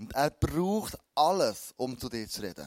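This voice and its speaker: On a very clean recording with a silent background and dry, close sound with no echo, a man speaks at a fairly high pitch with very wide pitch swings. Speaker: pastor. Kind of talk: sermon.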